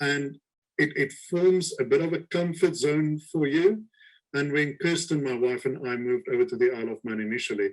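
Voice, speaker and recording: A man with a slight South African accent talks at a moderate pace, with fairly high pitch and ordinary pitch variation. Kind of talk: webinar interview. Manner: halting.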